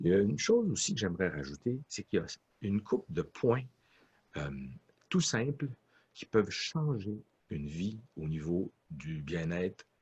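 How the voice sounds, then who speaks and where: A fairly low-pitched man speaks at a fairly slow pace with long, frequent pauses and very wide pitch swings. His voice is somewhat breathy, and the sound is dry and close with no echo. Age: 60s. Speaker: orchestra conductor and music professor. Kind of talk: interview.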